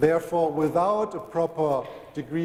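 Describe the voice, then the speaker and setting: Through noticeable background noise, a man speaks with a strong German accent and ordinary pitch variation. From Germany. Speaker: telecom industry speaker. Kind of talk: conference presentation.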